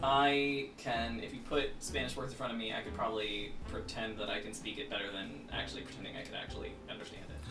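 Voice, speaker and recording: A man at a very fast pace with hardly any pauses, music playing in the background. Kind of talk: casual comedy podcast banter.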